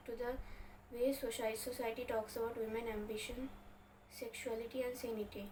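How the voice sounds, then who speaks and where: A woman's high voice carries monotone, flat intonation. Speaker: book vlogger. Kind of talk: book review monologue. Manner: stuttering, self-correcting.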